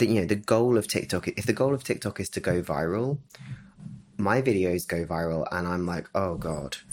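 A man with a plain, everyday voice and fairly low pitch uses lively intonation at a moderate pace. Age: 30s. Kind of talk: casual chat.

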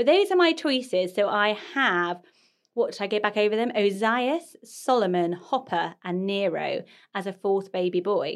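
An ordinary speaking voice with lively intonation, at a moderate pace. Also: woman, medium pitch for a woman. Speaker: podcast host. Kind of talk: casual chat.

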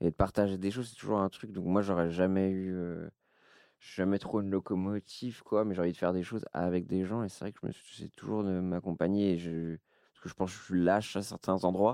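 The dark, mellow voice moves at a fairly quick pace with fairly even intonation and big swings in loudness, in a very clean recording with a silent background. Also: man, very deep, low pitch for a man, dry, close sound with no echo. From Brittany, France. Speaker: streamer and podcast host. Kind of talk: casual chat.

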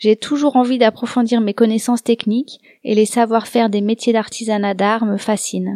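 A woman's fairly high-pitched voice with a dark, mellow tone and monotone, flat intonation, at a moderate pace, dry and close with no echo on a very clean recording with a silent background. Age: 30s. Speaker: podcast host and embroiderer. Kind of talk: scripted narration.

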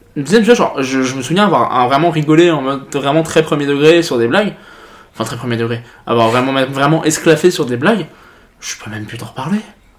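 The delivery moves at a fairly quick pace with lively intonation and big swings in loudness. Noticeable background noise is present. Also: man, fairly high pitch for a man. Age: 20s. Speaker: podcast host. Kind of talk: casual chat.

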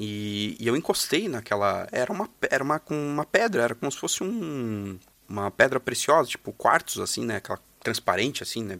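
A plain, everyday voice from a man, medium in pitch, with lively intonation at a moderate pace, dry and close with no echo, on a very clean recording with a silent background. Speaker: guest storyteller. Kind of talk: storytelling.

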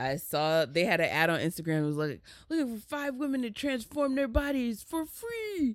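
A woman with a fairly high voice speaks at a moderate pace, her pitch swinging very widely. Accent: American. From New Jersey, Jersey Shore. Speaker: comedian. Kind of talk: casual chat.

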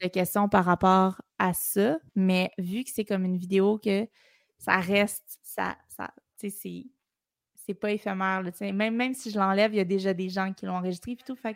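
At a moderate pace, a woman with a medium pitch speaks in fairly even intonation, with big swings in loudness and a dry, close sound with no echo. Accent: Quebec. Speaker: drummer and content creator. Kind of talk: casual chat. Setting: video call.

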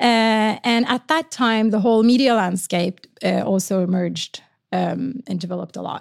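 A woman speaks at a moderate pace with a Norwegian accent. Her pitch sits fairly high with ordinary variation, and the sound is dry and close with no echo. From Norway. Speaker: marketing executive. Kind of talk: interview conversation. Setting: studio.

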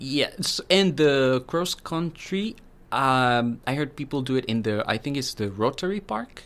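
With a Spanish accent, a man speaks at a fairly high pitch and a fairly slow pace, his intonation lively. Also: very clean recording, silent background. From Colombia, Medellin. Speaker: international student, former lawyer. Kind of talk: casual interview.

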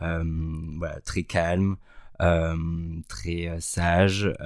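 On a very clean recording with a silent background, a man speaks. His pitch is very deep and low, with fairly even intonation. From southern France. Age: 20s. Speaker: product manager. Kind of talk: interview.

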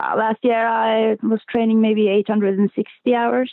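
A woman with a slight Norwegian accent speaks with fairly even intonation. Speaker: athlete. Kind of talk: interview.

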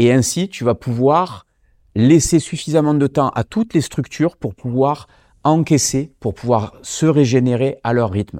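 An ordinary speaking voice from a man, medium in pitch, with lively intonation and a fairly slow pace, on a very clean recording with a silent background. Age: 40s. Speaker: martial arts champion and fitness author. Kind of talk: educational interview.

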